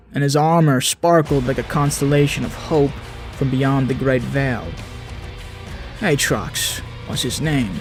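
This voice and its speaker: Music plays in the background as a man with a medium pitch speaks. His pace is fairly slow and his intonation fairly even. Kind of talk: game lore narration.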